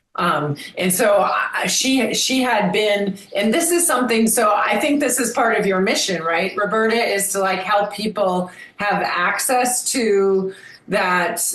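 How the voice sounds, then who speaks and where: Lively intonation comes through at a fairly slow pace and very even loudness, with audible room echo and noticeable background noise. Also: woman, medium pitch for a woman. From US Midwest, Madison, Wisconsin. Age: 60s. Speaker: memoir author and health business owner. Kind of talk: interview.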